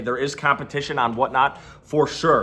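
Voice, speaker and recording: Background noise is clearly noticeable. Through it, a man talks. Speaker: online reseller and YouTuber. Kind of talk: explainer video to camera. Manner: energetic; loud.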